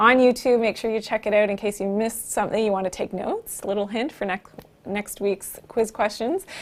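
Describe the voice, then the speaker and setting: Someone speaks at a fairly quick pace with a Canadian accent, over noticeable background noise. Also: woman, fairly high pitch for a woman. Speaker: naturopathic doctor hosting a live health show. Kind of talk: live stream talk with viewer interaction. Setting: live stream. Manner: upbeat, energetic.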